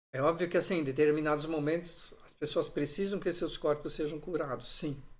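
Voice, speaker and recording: Audible room echo surrounds a man talking at a fairly quick pace with fairly even intonation. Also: fairly high pitch for a man. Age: 60s. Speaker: pastor. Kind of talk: sermon. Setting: livestream.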